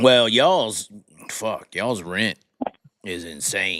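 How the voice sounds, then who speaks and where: The speaker, with a Southern US accent, talks at a fairly slow pace with very wide pitch swings. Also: man. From US South. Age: 30s. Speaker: live-stream host. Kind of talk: casual chat with caller.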